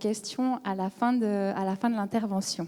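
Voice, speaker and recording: A woman with a slight Swiss French accent and ordinary pitch variation. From Switzerland. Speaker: psychology researcher. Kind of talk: conference lecture.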